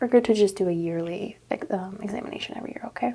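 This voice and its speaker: A woman talks in an ordinary speaking voice at medium pitch with ordinary pitch variation. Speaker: ASMR roleplay doctor. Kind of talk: ASMR medical exam roleplay. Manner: soft-spoken, calm, relaxing.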